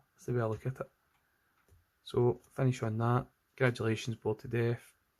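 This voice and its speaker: With a Scottish accent, a man at a medium pitch talks at a fairly quick pace in a monotone, flat intonation, his loudness swinging widely. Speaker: digital artist. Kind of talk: casual livestream chat while drawing.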